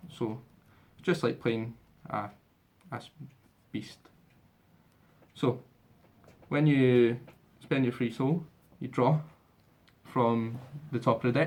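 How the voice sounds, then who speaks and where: Speaking in a Scottish accent at a very slow pace, a man uses a medium pitch and ordinary pitch variation, with long, frequent pauses. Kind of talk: casual game demo walkthrough.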